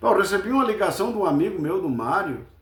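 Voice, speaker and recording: A man with a southern Brazilian accent, very wide pitch swings and audible room echo. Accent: gaúcho Brazilian Portuguese. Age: 70s. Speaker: football fan commentator. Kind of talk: casual post-match commentary.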